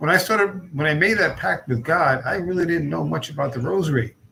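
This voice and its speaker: With lively intonation, a man talks while noticeable background noise fills the clip. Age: 60s. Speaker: religious channel host. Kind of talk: casual personal talk to camera. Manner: halting, many fillers.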